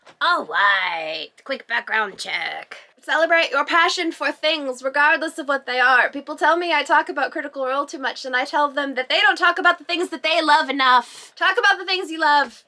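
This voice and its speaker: The voice is raised and projected, at a moderate pace with hardly any pauses. Its pitch varies in an ordinary way. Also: woman, high pitch for a woman. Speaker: craft YouTuber. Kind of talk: casual vlog talk to camera. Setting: home, bedroom with bookshelf background. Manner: animated.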